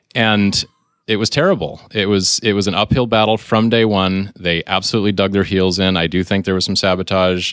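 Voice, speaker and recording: A man talks at a fairly quick pace in a normal speaking voice. His intonation is fairly even and his loudness very even. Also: fairly low pitch for a man. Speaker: software sales demoer. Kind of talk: casual podcast interview.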